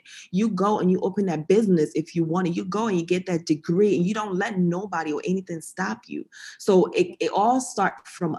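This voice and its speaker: Talking at a moderate pace with hardly any pauses, a woman has an unremarkable speaking voice, a medium pitch and ordinary pitch variation. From Ghana, moved to US in sixth grade. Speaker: occupational therapist. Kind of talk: casual interview chat.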